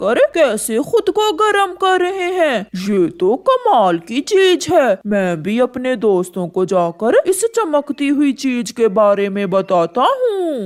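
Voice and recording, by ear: This cartoonish character voice is high-pitched, with very wide pitch swings and a fairly slow pace. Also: female-sounding voice, hardly any pauses.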